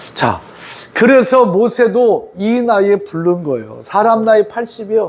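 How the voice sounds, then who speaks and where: A man with a high pitch and ordinary pitch variation talks at a fairly slow pace over noticeable background noise. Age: 60s. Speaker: pastor. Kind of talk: sermon. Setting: church. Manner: conversational, informal asides to congregation.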